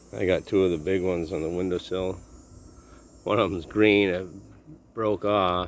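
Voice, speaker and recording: Quiet and mumbling, a man speaks fairly quickly in a very deep, low pitch with monotone, flat intonation. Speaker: vlogger filming his dog and garden. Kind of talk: casual vlog narration. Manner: low, quiet voice.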